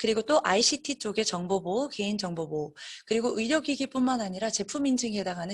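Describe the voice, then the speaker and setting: Talking at a very fast pace, a woman uses lively intonation at a medium pitch. Her voice is somewhat breathy. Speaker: business development and marketing team lead presenting a webinar. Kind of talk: webinar presentation. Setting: online webinar.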